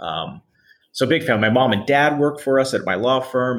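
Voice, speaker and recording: Medium pitch, a moderate pace and a plain, everyday voice from a man. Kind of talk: casual interview, storytelling.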